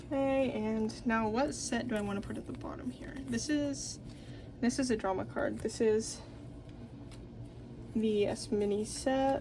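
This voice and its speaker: A woman speaks at a fairly slow pace with long, frequent pauses, in audible room echo. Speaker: K-pop collecting YouTuber. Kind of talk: casual hobby vlog narration. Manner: low energy.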